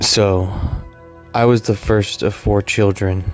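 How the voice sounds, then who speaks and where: A soft-spoken man at a fairly slow pace and fairly low pitch, with music in the background. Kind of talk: ASMR life story.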